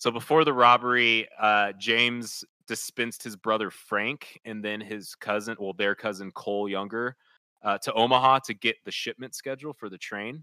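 On a very clean recording with a silent background, a man with an American accent uses an ordinary speaking voice at medium pitch, moving at a moderate pace with fairly even intonation and big swings in loudness. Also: dry, close sound with no echo. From suburban Kansas City area, US Midwest. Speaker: podcast co-host and band singer. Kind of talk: casual chat with history storytelling.

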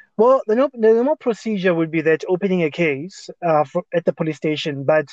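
A man talks at a fairly quick pace with a high pitch. The sound is dry and close, with no echo. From South Africa, Johannesburg (Soweto). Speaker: lawyer. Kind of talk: interview. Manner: halting.

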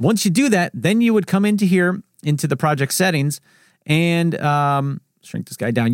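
On a very clean recording with a silent background and a dry, close sound with no echo, a man speaks in a high pitch with lively intonation. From US Northeast, New Jersey. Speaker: video editing YouTuber. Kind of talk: solo Q&A podcast. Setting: home studio with microphone. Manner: fast talker; casual, chatty.

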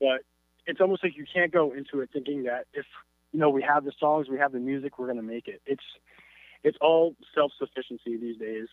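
This man has an ordinary speaking voice with a fairly high pitch and ordinary pitch variation. He talks at a fairly quick pace. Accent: American. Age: 20s. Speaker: pop-punk band member. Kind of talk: casual interview.

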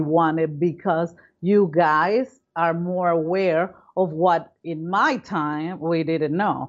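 A woman with a Spanish accent speaks very slowly in a fairly low pitch, with ordinary pitch variation. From Venezuela, Caracas. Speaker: foundation co-founder, climate philanthropist. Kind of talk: interview.

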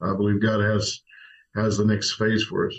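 A man with an American accent speaks at a moderate pace in a normal speaking voice at medium pitch. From Oklahoma, Tulsa. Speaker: senior pastor. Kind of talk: casual interview.

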